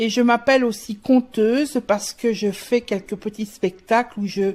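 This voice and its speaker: Talking at a fairly slow pace, a woman keeps a fairly even intonation at a fairly high pitch. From Alsace, France. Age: 60s. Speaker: poet and writer. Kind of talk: interview. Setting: at her home. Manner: halting, many hesitations.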